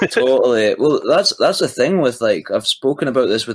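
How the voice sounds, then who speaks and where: A man is heard on a very clean recording with a silent background, dry and close with no echo. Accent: Scottish. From east coast of Scotland. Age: young. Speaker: musician. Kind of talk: casual chat.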